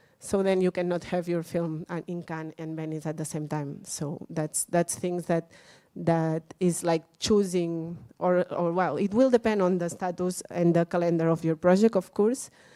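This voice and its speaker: With a Catalan accent, a woman speaks at a moderate pace with hardly any pauses, a fairly low pitch, a dark, mellow tone and fairly even intonation, in a dry, close, very clean recording with no echo and a silent background. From Catalonia, Spain. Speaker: workshop speaker on film festivals. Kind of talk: lecture. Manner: halting, many fillers and repeats.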